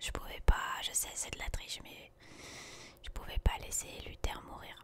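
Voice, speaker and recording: Someone is whispering. Background noise is noticeable. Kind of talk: ASMR gaming commentary. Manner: whispered.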